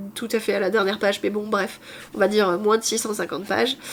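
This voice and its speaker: A woman speaks over noticeable background noise. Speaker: booktuber. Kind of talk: casual vlog chat. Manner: halting.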